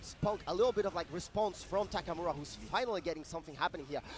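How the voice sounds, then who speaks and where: Speaking with a non-native accent, a man talks at a very fast pace. His pitch is high and his intonation lively. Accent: foreign. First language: not English. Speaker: esports commentator. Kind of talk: live commentary. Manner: animated.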